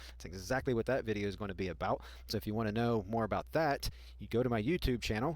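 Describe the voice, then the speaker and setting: Very fast and full of lively intonation, a man speaks at a fairly low pitch with vocal fry. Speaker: YouTuber teaching software tips. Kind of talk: screen-recorded tutorial. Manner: pauses often; sometimes speaks fast.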